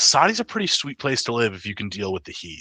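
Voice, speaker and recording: The voice has a bright, sharp tone, very wide pitch swings and a moderate pace. The sound is dry and close with no echo, over a quiet background. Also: man. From West Virginia, US. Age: 20s. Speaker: former Marine mechanic. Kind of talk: casual chat.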